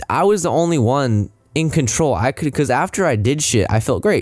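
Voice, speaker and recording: A man's pitch swings very widely as he talks at a moderate pace, with music playing in the background. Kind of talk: casual podcast talk. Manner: rambling, many filler words.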